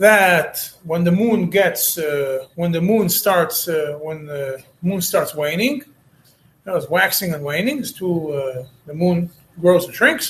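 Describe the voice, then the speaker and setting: Speaking very slowly, a man with a high-pitched voice uses lively intonation. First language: not English (third language). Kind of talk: lecture. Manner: halting, with frequent fillers and repetitions.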